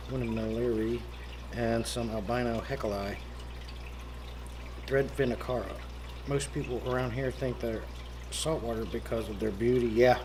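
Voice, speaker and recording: A man with an American accent leaves long, frequent pauses, and the recording has audible room echo. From Pennsylvania, US. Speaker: aquarium hobbyist livestreamer. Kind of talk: casual livestream chat. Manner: fast.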